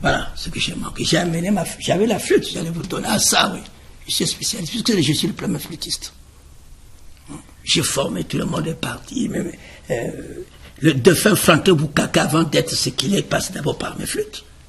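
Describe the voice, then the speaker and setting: At a high pitch, a man talks at a moderate pace with ordinary pitch variation and long, frequent pauses. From Republic of the Congo, Brazzaville. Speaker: choreographer and musician. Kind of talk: interview. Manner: halting.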